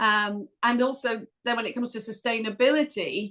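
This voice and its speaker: A woman with a northern English accent, fairly high-pitched, bright and sharp in tone, with fairly even intonation. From northern England. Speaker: corporate sustainability executive. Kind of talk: podcast interview.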